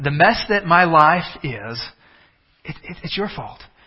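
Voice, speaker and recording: A man with a fairly high pitch, a Texan accent and lively intonation. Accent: Texan American English. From Texas. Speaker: pastor. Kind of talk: sermon. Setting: church with congregation.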